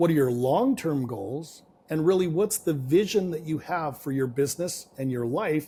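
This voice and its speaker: Lively intonation from a man with a fairly high pitch and a Canadian accent. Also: moderate pace. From Canada. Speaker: business and real estate coach. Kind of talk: podcast interview.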